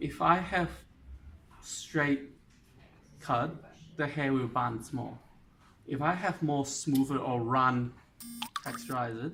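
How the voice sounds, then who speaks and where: Delivered at a very slow pace, this voice carries a non-native accent and a bright, sharp tone. Long, frequent pauses break it up, and the pitch varies in an ordinary way. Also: man, fairly high pitch for a man. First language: not English. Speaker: hairdresser. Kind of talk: tutorial. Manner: halting.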